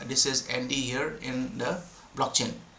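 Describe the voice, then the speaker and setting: There is audible echo in the room and noticeable noise behind the voice. The speech moves at a moderate pace. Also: man. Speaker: crypto developer explaining blockchain tools. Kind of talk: screen-share tutorial. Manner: halting, many fillers and restarts.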